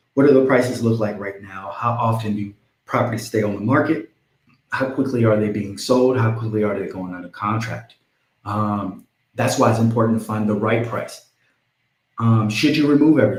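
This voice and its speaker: At a moderate pace, a man with a medium pitch speaks in a somewhat breathy voice. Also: ordinary pitch variation. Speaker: real estate agent. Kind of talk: live stream tutorial. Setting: live stream.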